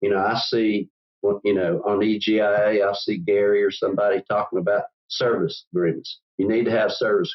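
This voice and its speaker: In a Southern US accent, a man talks at a fairly quick pace with very even loudness. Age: 70s. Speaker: business owner. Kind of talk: interview. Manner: halting, many repetitions.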